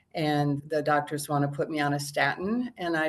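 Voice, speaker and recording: Woman with a very deep, low pitch at a fairly slow pace against a quiet background. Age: 60s. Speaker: program client. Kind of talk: interview. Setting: outdoors.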